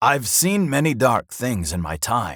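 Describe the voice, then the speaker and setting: A man uses a put-on character voice, gruff and growling. His pitch is medium with very wide swings, and his pace is fairly slow. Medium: read story. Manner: gruff, growling.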